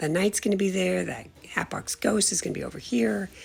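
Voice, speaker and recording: A woman keeps a moderate pace as noticeable background noise continues behind her. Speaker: home haunt builder. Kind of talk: video walkthrough tour. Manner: casual, hesitant with fillers.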